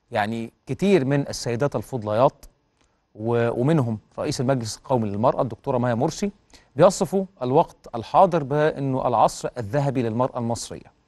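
A man's dark, mellow voice at a moderate pace, with ordinary pitch variation and a quiet background. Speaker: TV presenter. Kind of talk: news show presenting. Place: studio. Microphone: lapel.

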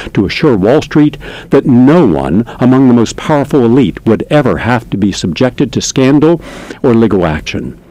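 A man talks at a moderate pace with lively intonation in a dry sound with no echo. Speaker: radio show host. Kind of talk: commentary monologue read from notes. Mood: earnest, critical. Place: studio. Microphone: studio mic.

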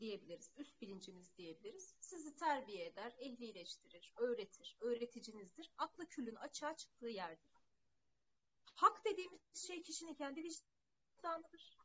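A woman projects a bright, sharp voice at a high pitch and a moderate pace, her pitch swinging very widely. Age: 30s. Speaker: spiritual teacher. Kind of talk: spiritual talk. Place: home room. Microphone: earbuds.

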